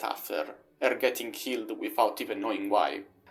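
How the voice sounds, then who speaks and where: At a moderate pace, the voice carries a non-native accent. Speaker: video game reviewer. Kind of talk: video essay narration.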